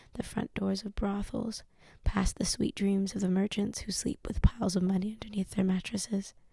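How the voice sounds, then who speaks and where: A soft-spoken woman's whisper, somewhat breathy, at a moderate pace. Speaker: ASMR channel host, book reader. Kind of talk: ASMR audiobook reading, whispered and soft-spoken. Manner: whispered, soft-spoken.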